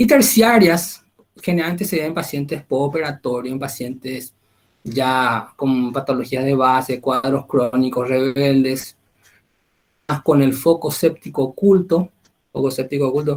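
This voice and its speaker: A normal speaking voice delivered at a fairly slow pace with ordinary pitch variation. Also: man, fairly high pitch for a man. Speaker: medical lecturer. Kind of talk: lecture.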